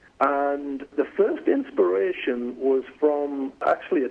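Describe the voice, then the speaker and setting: Noticeable background noise surrounds a man whose fairly high pitch carries lively intonation. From northeast England. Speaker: company executive. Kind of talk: phone interview.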